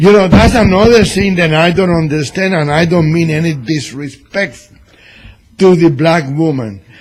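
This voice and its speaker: Loud and high-pitched, a man talks at a fairly slow pace. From Cuba. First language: Spanish. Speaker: radio host and newspaper columnist. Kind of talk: political talk radio chat. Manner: animated.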